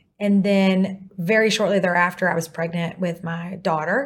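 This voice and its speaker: With a Texan accent, a woman of medium pitch speaks in a somewhat breathy voice with fairly even intonation. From East Texas. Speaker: divorce lawyer. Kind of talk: interview. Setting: studio.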